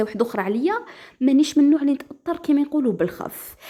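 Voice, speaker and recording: In an Algerian accent, the speaker goes at a very fast pace with a dark, mellow tone and very wide pitch swings. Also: woman. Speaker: storyteller. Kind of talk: first-person story narration.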